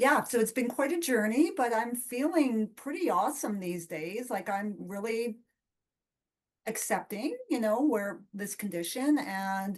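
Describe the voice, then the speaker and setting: At a fairly slow pace, a woman speaks with an ordinary speaking voice, a fairly high pitch and lively intonation. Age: 50s. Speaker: community member with nystagmus. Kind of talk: casual chat.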